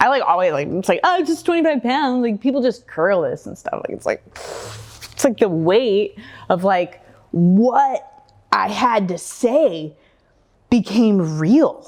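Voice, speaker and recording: At a fairly slow pace, a woman speaks with a fairly high pitch and very wide pitch swings. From Oregon, USA. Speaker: community advocate, public speaker. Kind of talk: live stage talk. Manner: light-hearted, gently humorous.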